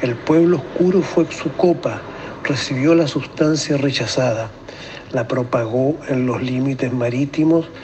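Noticeable background noise sits behind a man speaking at a fairly slow pace. His intonation stays fairly even. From Chile. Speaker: engineer and amateur narrator. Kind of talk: poetry reading.

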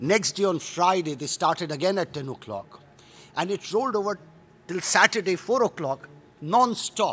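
At a moderate pace, a man talks in a voice pitched high for a man. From India. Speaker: UN conference official; conference panelist. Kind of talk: panel presentation. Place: hall. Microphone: podium.

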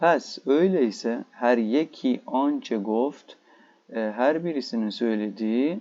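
A man in a Turkish accent talks at a moderate pace with a dark, mellow tone. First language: Turkish (speaking Persian). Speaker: Persian language teacher. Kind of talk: lecture. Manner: halting.

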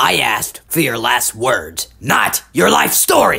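A raspy male voice of medium pitch moves at a fairly slow pace. Its pitch swings very widely. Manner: gruff, irritable, insulting.

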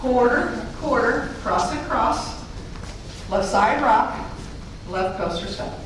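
Very slow speech with long, frequent pauses, strong room echo and light background noise. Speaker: fitness instructor. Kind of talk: live line dance class teaching, step-by-step instruction. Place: hall.

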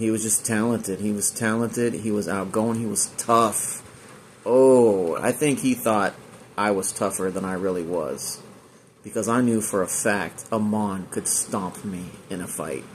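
A man with an American accent speaks at a fairly slow pace and a fairly low pitch. His intonation is fairly even, with light background noise. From Northern California (Chico); Northern California. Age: 40s. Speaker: online video creator. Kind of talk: personal tribute monologue. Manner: halting, many fillers. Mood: grieving, reflective. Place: home room. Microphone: phone near.

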